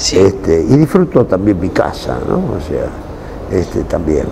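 The speaker talks in a Rioplatense accent. Noticeable background noise runs underneath. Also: man. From Buenos Aires, Argentina. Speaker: actor. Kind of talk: interview. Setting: cultural center.

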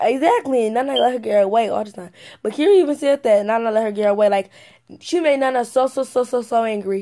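Fast-paced and fairly high for a woman, her voice carries a dark, mellow tone with ordinary pitch variation.

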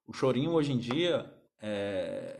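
Against a quiet background, a man with a fairly high pitch moves through very wide pitch swings. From Brazil. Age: 30s. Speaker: music teacher. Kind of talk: live stream talk to viewers. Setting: Instagram live stream. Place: home room. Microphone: phone near.

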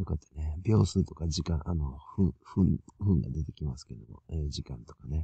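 A man speaks with vocal fry in a very deep, low voice at a moderate pace, showing ordinary pitch variation, big swings in loudness and hardly any pauses, with a dry, close sound and no echo. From Japan, Toyama. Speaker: conspiracy video commentator. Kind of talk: solo commentary video. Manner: halting, many fillers.

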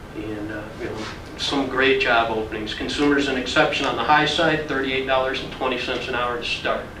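Over noticeable background noise, a man talks at a fairly quick pace with fairly even intonation. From US Midwest. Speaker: vocational program instructor. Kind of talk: orientation talk. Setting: room with audience. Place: classroom. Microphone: camera far.

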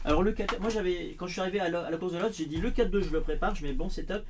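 Over light background noise, a man speaks at a high pitch with ordinary pitch variation. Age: 50s. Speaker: RC car hobbyist YouTuber. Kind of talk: casual livestream chat. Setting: home livestream with Discord voice chat. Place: shop.

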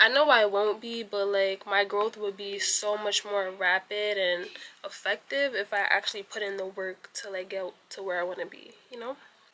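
A woman speaks at medium pitch with a bright, sharp tone. Her pace is moderate and her intonation fairly even.

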